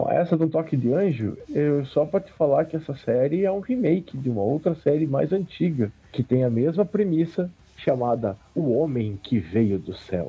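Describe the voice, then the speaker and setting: This man has a fairly high pitch and a somewhat breathy voice. He talks at a moderate pace with lively intonation. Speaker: podcast co-host. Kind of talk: casual chat.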